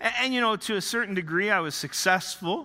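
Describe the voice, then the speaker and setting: In a Canadian accent, a man uses a raised, projected voice that is high-pitched, with a bright, sharp tone and lively intonation. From Northern Ontario, Canada. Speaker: pastor. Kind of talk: sermon. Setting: church. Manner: hesitant, many fillers.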